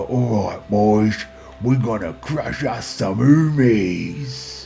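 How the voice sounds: A gruff, put-on character voice moves at a very slow pace with very wide pitch swings. Music is clearly heard in the background. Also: man, fairly low pitch for a man.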